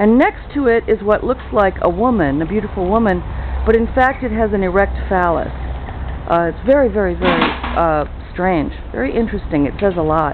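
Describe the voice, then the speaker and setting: At a moderate pace, a woman speaks with noticeable background noise behind her. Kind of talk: casual travel commentary. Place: street. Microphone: phone near.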